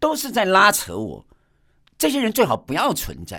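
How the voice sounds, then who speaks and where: In a very clean recording against a silent background, the talking moves at a moderate speed. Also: man. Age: 50s. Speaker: podcast host and abstract painter. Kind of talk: radio interview; podcast monologue. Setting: radio studio.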